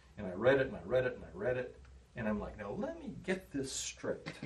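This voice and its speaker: A man talks at a fairly quick pace with an American accent. There is noticeable background noise. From Kansas. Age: 60s. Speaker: public health officer. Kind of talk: presentation.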